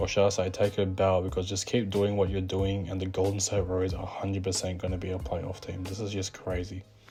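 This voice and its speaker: A man's very deep, low voice at a very fast pace with hardly any pauses, amid audible room echo and noticeable background noise. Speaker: basketball commentator YouTuber. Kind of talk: casual vlog commentary. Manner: animated.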